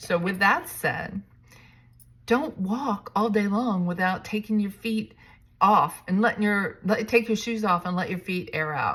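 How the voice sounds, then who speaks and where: In an ordinary speaking voice, a woman talks at a medium pitch and a fairly slow pace with ordinary pitch variation. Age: 60s. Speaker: realtor and vlogger. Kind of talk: casual vlog monologue. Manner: casual, with fillers and restarts.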